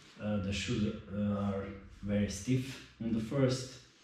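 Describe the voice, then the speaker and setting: With fairly even intonation, the speaker goes at a very slow pace amid strong room echo. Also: man. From Croatia. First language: not English. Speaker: mountain biker. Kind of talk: casual product review to camera. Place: garage.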